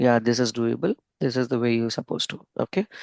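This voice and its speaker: A soft-spoken voice against a quiet background. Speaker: software trainer. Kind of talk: online lecture.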